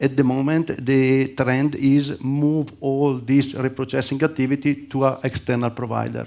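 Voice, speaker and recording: An Italian accent in a dark, mellow tone, monotone and flat, with hardly any pauses. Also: man. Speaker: panel speaker, sterilization services executive. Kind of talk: conference presentation. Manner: halting, hesitant.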